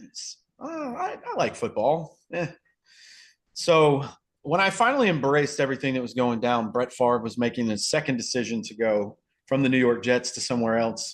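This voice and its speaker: A man with a Southern US accent at medium pitch and moderate pace, against a quiet background. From US South, North Carolina. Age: 30s. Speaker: podcast guest, football fan. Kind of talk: casual chat.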